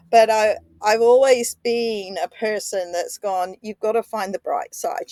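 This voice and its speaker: A woman speaks at a moderate pace with a fairly high pitch and ordinary variation. The sound is dry and close with no echo, the recording very clean and the background silent. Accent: Australian. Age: 60s. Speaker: podcaster. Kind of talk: personal reflection. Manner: halting.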